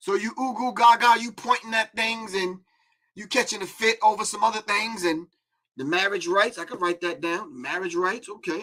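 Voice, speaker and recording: His voice is raised and projected, high-pitched for a man, with a bright, sharp tone. This man sounds animated and keeps a moderate pace. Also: ordinary pitch variation. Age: 60s. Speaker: call-in show host. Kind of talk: casual talk show monologue.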